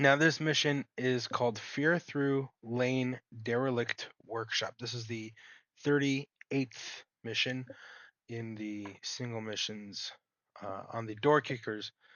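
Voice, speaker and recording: A man speaks at a very slow pace in a medium pitch with fairly even intonation, long, frequent pauses and big swings in loudness. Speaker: gaming YouTuber. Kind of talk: gameplay commentary. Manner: articulate.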